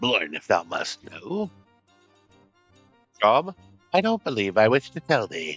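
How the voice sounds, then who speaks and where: Over faint music in the background, a man puts on a gruff character voice at medium pitch, moving at a fairly slow pace with very wide pitch swings and long, frequent pauses. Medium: actual play. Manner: gruff, archaic thee-and-thou speech.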